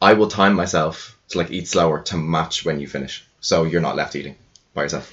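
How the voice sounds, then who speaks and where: With an Irish accent, a man speaks at a fairly quick pace in a very deep, low pitch. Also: fairly even intonation. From Ireland. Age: 20s. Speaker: podcast guest. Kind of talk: casual chat.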